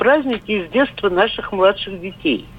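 Female speech with very wide pitch swings at a moderate pace, noticeable background noise behind it. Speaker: caller. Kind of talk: phone-in reminiscence. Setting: phone call.

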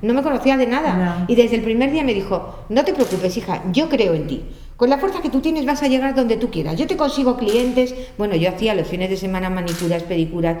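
A woman speaks at a fairly high pitch with very wide pitch swings. Audible room echo and noticeable background noise surround her voice. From Spain. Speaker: makeup artist. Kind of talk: casual interview chat.

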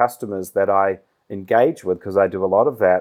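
Recorded very cleanly against a silent background, a man speaks with a New Zealand accent. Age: 30s. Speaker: business executive. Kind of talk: interview.

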